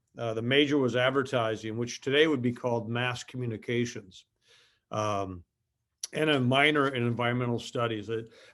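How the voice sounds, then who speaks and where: The speaker has an Upper Midwest accent and a fairly quick pace. Their intonation stays fairly even. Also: man, medium pitch for a man. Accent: Upper Midwest American. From southern Minnesota, US Midwest. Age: 50s. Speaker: company executive. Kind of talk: interview. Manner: halting, many fillers.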